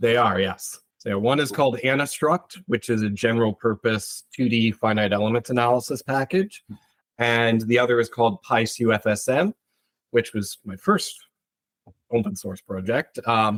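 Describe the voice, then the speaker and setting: A man's normal speaking voice with an American accent, medium in pitch with ordinary variation, at a moderate pace, dry and close with no echo. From US Northeast, Connecticut. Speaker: structural engineer. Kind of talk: interview.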